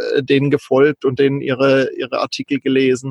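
A man speaks at a moderate pace with a fairly high pitch. The sound is dry and close, with no echo. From southern Baden, Kaiserstuhl. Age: 40s. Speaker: digital nomad, virtual assistant. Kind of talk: casual interview.

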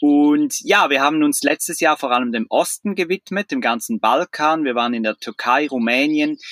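Fairly high in pitch, a man uses an ordinary speaking voice with lively intonation at a moderate pace, hardly pausing, in a dry, close sound with no echo. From Switzerland. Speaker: traveller, van-life couple. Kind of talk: casual interview.

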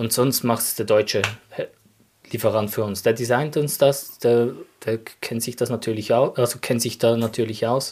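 A man with a medium-pitched voice speaks at a moderate pace in a flat, monotone delivery. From Switzerland, canton of Glarus. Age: 30s. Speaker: sock business co-founder. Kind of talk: casual interview chat. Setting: studio, in person.

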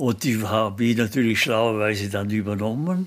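Here a man talks at a fairly slow pace. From Austria, Bregenzerwald (Vorarlberg). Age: 80s+. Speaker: sculptor. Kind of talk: interview. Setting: his workshop.

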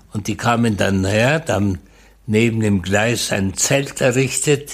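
This man talks at a very slow pace with a medium pitch and ordinary pitch variation. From Czechoslovakia, northern Moravia. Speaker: Holocaust survivor and eyewitness. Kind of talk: testimony.

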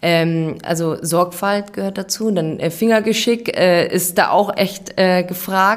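Noticeable background noise sits behind a woman speaking with fairly even intonation. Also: medium pitch for a woman. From Bavaria. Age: 30s. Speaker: pharmacy technician. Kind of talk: interview. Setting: hospital.

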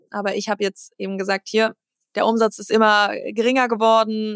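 A woman with a fairly high pitch speaks at a fairly quick pace in a monotone, flat intonation, on a very clean recording with a silent background and a dry, close sound with no echo. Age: 30s. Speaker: CEO of a family machine-building company. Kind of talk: casual interview.

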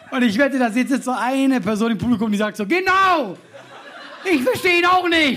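A raised, projected voice moves at a fairly quick pace with very wide pitch swings. Noticeable background noise and audible room echo fill the recording. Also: man, extremely high pitch for a man. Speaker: comedian and podcast host. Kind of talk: live podcast recording with audience banter. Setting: live stage with audience, outdoors in rain.

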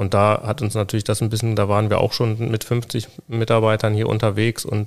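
Very fast speech from a man, flat and monotone in intonation. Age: 40s. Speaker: co-founder of a children's wheelchair company. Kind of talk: interview. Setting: on location in company workshop. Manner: halting with many fillers.

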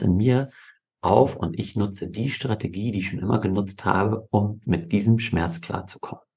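With ordinary pitch variation and a moderate pace, this voice comes across as somewhat breathy. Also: man. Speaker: family and fathers' coach, podcast co-host. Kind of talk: conversational podcast discussion.

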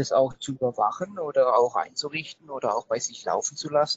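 A man speaks at a moderate pace. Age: 30s. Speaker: IT company managing director. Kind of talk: interview. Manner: hesitant, many filler sounds.

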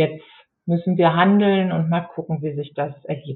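At a fairly slow pace, a woman uses an unremarkable speaking voice, her pitch varying in an ordinary way. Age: 50s. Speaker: geriatric nurse and care home manager turned author. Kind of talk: casual interview.

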